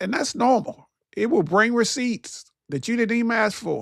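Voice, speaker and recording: With a Southern US accent, a man speaks in an animated tone at a moderate pace in a very clean recording with a silent background. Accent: country, Southern US. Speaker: motivational/faith talk show host. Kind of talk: motivational talk, sermon-like. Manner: animated, preachy.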